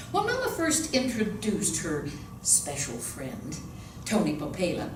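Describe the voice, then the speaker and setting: Over noticeable background noise, a woman speaks at a fairly slow pace. Her pitch swings very widely. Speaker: actress and voice-over artist. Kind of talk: audiobook reading of a novel.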